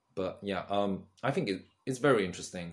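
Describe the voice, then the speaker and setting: A man in a British accent, lively in intonation, at a moderate pace. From UK. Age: 20s. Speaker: content creator. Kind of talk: casual monologue. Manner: halting.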